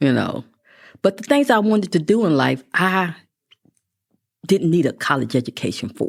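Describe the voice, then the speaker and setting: A woman with an American accent and vocal fry speaks at a moderate pace in a fairly low pitch, swinging very widely in pitch and leaving long, frequent pauses. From West Texas (Midland). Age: 60s. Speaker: constable. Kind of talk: interview.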